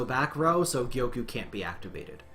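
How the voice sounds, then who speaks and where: A man talks at medium pitch with audible room echo. Music plays in the background. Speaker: gaming streamer. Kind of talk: gameplay commentary. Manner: fast; animated.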